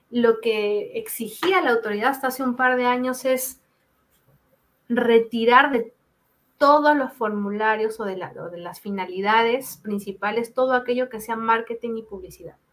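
A woman with a normal speaking voice talks at a fairly high pitch with ordinary pitch variation and big swings in loudness. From Peru. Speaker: data protection lawyer. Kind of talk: expert interview.

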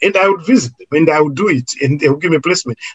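A man's fairly high voice at a very fast pace, with ordinary pitch variation and music in the background. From Zimbabwe. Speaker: social worker. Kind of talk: interview.

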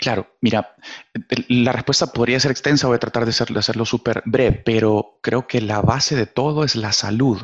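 The speaker uses a Salvadoran accent at a moderate pace with fairly even intonation. The sound is dry and close with no echo, and the loudness is very even. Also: man, medium pitch for a man. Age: 30s. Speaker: business director. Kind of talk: interview, life story.

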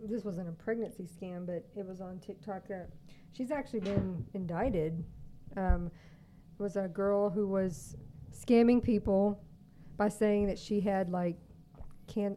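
This speaker, with a Texan accent, makes long, frequent pauses and shows big swings in loudness. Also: woman. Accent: mild Texan twang. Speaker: co-host. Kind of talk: casual chat. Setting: studio.

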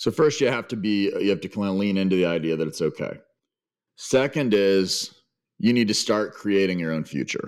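In an unremarkable speaking voice, a man talks at a moderate pace with lively intonation and a fairly low pitch. The recording is very clean, with a silent background. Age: 50s. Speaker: sales consultant. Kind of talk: interview.

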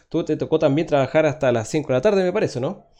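A man's dark, mellow voice with a Chilean accent at a very fast pace, with ordinary pitch variation, over a quiet background. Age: 30s. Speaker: podcast host. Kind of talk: casual chat.

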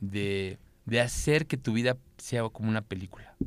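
The speaker has a plain, everyday voice. The recording is very clean, with a silent background. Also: man. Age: 30s. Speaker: content creator. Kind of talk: casual chat.

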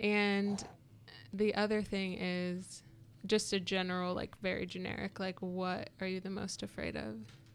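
At a fairly slow pace, a woman speaks with fairly even intonation in a normal speaking voice. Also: medium pitch for a woman. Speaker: podcast guest. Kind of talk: casual chat.

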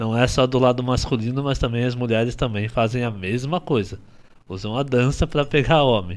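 The man has a normal speaking voice at medium pitch. He keeps a moderate pace with ordinary pitch variation. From Paraná, Brazil. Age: 30s. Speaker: dancer and dance teacher. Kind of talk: casual chat.

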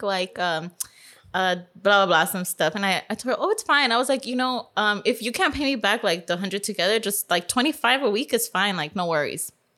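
A woman talks at a fairly quick pace with a Californian accent, her tone bright and sharp. Her intonation is lively, and the recording is very clean with a silent background. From Los Angeles, Silver Lake. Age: 30s. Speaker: podcast guest. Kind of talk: casual chat.

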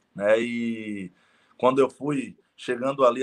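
Here is a man with an unremarkable speaking voice. His pitch is medium and his intonation fairly even. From Bahia, Brazil (Salvador). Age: 30s. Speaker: network marketing entrepreneur. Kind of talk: interview. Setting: live stream.

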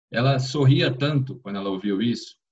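A man's somewhat breathy, medium-pitched voice at a fairly quick pace, with ordinary pitch variation. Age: 40s. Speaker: HR executive at a fintech. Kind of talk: interview conversation.

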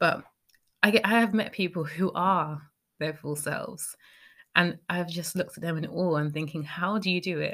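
Speaking with a British accent, a woman keeps a moderate pace and fairly even intonation on a very clean recording with a silent background. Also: fairly low pitch for a woman. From Britain. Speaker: podcast host. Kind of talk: solo podcast monologue.

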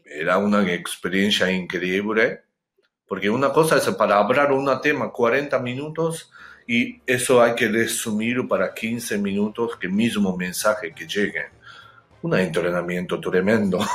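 With lively intonation, a man speaks in a Japanese accent. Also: medium pitch for a man, fairly slow pace. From Japan, Hokkaido. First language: Japanese (speaking Spanish). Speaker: chef and public speaker. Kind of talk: interview. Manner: halting.

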